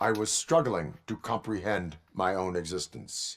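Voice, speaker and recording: Over a silent background on a very clean recording, a man uses a put-on character voice, very deep and low, at a moderate pace. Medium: video game. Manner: flat, formal, clipped.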